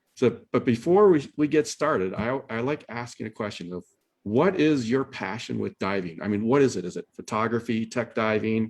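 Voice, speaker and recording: Against a quiet background, a man speaks with a Midwestern accent. His pitch sits at medium, his pace is moderate, and his intonation is lively. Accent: Midwest American. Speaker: webinar host. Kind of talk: webinar introduction. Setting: video call. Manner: hesitant, many fillers.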